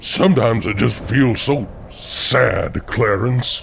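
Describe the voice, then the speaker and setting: Amid clear background noise, a man talks in a menacing tone at a medium pitch and a fairly slow pace. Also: ordinary pitch variation. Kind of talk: comic overacting. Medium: audio drama. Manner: mopey, self-pitying, then grandly menacing.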